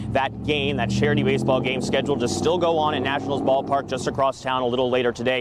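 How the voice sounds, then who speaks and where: The speech comes at a very fast pace with very even loudness and fairly even intonation. Noticeable background noise runs underneath. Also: man, medium pitch for a man. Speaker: TV news reporter. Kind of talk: live news report.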